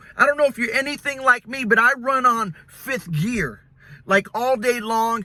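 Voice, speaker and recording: With a bright, sharp tone, a man speaks in a raised, projected voice. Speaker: pastor. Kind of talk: casual talk to camera, mini sermon. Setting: recorded in a vehicle. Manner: earnest, encouraging.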